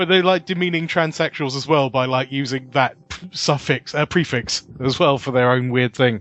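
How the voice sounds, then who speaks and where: Speaking with a British accent, a man uses a fairly high pitch, ordinary pitch variation and a moderate pace. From UK. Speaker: podcast guest, theme tune composer. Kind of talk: casual chat. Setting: remote call. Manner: self-deprecating, joking.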